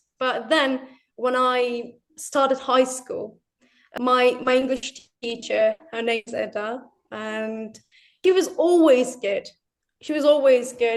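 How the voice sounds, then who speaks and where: In a British RP accent, a woman with a high pitch talks at a very slow pace with ordinary pitch variation. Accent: British RP-like. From Turkey. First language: Turkish. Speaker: English learner. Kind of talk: interview.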